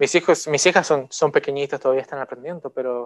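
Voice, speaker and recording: In a dry, close recording with no echo, a man speaks at a fairly high pitch. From outside the country he now lives in. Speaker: lay preacher. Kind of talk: sermon. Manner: halting, many fillers.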